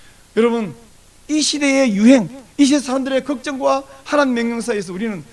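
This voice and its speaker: A man with an extremely high pitch, ordinary pitch variation and a fairly quick pace, over noticeable background noise. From South Korea, countryside near Busan. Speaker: pastor. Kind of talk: sermon.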